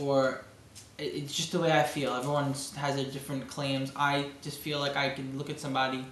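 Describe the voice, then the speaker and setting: In a Brooklyn accent, a man talks at a fairly quick pace with a fairly high pitch and monotone, flat intonation, amid noticeable background noise and audible room echo. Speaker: amateur bodybuilder vlogger. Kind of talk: video diary. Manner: halting.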